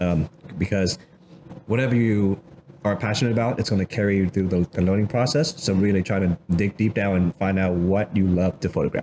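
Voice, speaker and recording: With a Vietnamese accent, a man speaks at a moderate pace and a fairly low pitch, with ordinary pitch variation. Background noise is noticeable. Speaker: office worker and hobby photographer. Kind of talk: casual interview.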